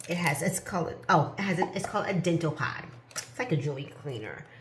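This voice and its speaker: A woman speaks in a plain, everyday voice, fairly low in pitch. Her pitch variation is ordinary. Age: 50s. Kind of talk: casual talk to camera.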